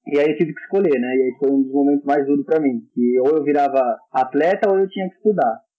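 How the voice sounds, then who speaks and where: A man's fairly high voice at a very fast pace, hardly any pauses, ordinary pitch variation. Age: 20s. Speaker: handball coach and fitness trainer. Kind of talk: casual podcast interview.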